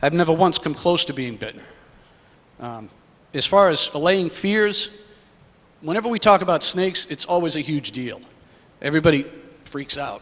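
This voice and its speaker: A man with an American accent speaks at a moderate pace in a fairly high voice, his intonation lively and his loudness swinging widely. Long, frequent pauses break up his speech over noticeable background noise. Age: 40s. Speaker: herpetology society president. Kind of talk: public comment at a meeting. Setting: public meeting in a school hall.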